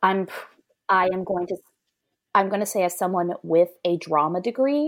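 A woman with an American accent speaks at a medium pitch in a normal speaking voice. The recording is very clean, with a silent background. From Georgia, US South. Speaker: English teacher, podcast guest. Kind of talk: casual chat.

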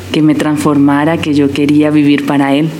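A woman with a very deep, low pitch speaks in fairly even intonation. Audible room echo and noticeable background noise are present. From Colombia, Barranquilla. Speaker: missionary and interpreter. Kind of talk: testimony.

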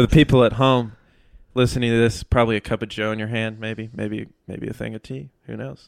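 A man with an American accent and a plain, everyday voice talks at a fairly quick pace in a medium pitch. His pitch varies in an ordinary way, while his loudness shifts in big swings. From North Texas. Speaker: composer and music student. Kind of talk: casual chat.

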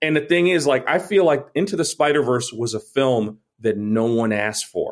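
This man speaks in an ordinary speaking voice with an American accent, his pitch fairly high. His intonation is lively and his pace moderate. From New York (Brooklyn). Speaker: film director. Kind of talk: casual chat.

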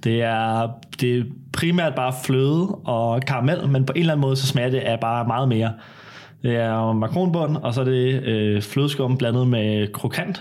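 A plain, everyday voice with very even loudness and ordinary pitch variation. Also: man, medium pitch for a man. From Denmark, Copenhagen area. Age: 20s. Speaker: baking show contestant. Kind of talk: casual chat. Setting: at home.

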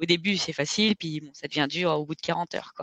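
This woman's pitch is fairly low and her intonation fairly even. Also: dry, close sound with no echo. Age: 30s. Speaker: ultra-trail runner. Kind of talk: casual interview.

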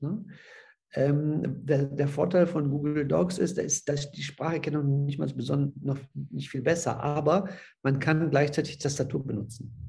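A man speaks with a dark, mellow tone and vocal fry. His pace is fairly slow, with ordinary pitch variation. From Silesia (ethnic German family), moved to Rhineland Germany as a child. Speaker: social pedagogue. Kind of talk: interview. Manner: halting.

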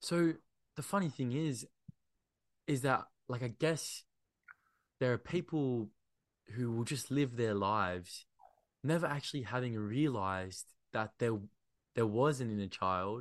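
With lively intonation, a man speaks at a fairly slow pace, leaving long, frequent pauses. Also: medium pitch for a man, quiet background. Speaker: podcast host. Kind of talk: casual interview chat.

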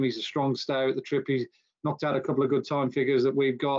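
This man has a British accent and a fairly high pitch. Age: 50s. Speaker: racing tipster and columnist. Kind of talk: casual chat. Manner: halting.

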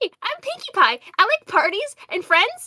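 A put-on character voice, female-sounding and pitched extremely high for a woman. It swings very widely in pitch at a moderate pace.

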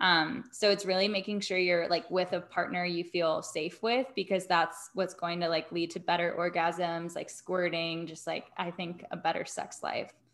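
Using a normal speaking voice, a woman with fairly low pitch speaks at a moderate pace with fairly even intonation and hardly any pauses. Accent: American. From US South, Atlanta. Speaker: intimacy coach and yoga teacher. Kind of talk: casual interview chat.

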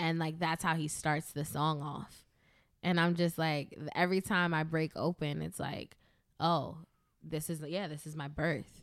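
A woman with a New York accent and a very deep, low pitch, at a fairly slow pace with monotone, flat intonation, on a very clean recording with a silent background. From US, the Bronx, New York. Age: 30s. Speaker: DJ and dancer. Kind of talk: casual interview.

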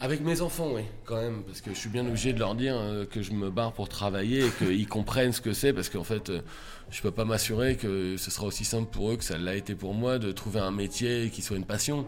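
Fairly low in pitch, a man talks at a fairly quick pace in a plain, everyday voice with ordinary pitch variation. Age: 40s. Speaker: comedian. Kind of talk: casual chat.

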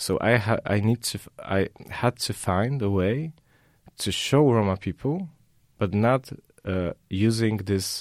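Ordinary pitch variation marks a man's voice on a very clean recording with a silent background. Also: dry, close sound with no echo. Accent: Polish. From southern Poland. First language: Polish. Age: young. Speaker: artist. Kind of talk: interview. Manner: halting.

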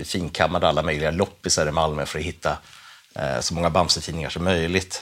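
His voice is very deep and low, and his intonation is monotone and flat. The man talks at a fairly quick pace. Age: 40s. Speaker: comic writer. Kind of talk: casual chat.

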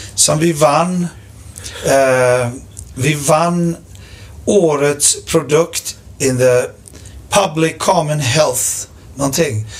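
At a very slow pace with long, frequent pauses, a man speaks in a fairly high, somewhat breathy voice with ordinary pitch variation. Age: 40s. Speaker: rock drummer. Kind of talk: casual chat.

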